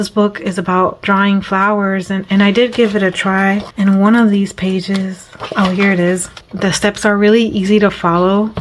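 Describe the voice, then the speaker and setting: The woman's intonation is monotone and flat. Noticeable background noise runs under her voice. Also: medium pitch for a woman, moderate pace. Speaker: coloring hobby youtuber. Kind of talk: casual video chat about coloring pages. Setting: at home. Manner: halting with pauses and fillers.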